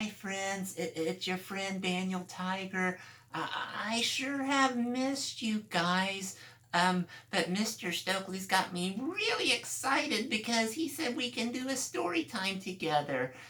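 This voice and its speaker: Putting on a character voice, a man speaks high and at a fairly slow pace over light background noise. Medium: read story. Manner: hesitant, stammering.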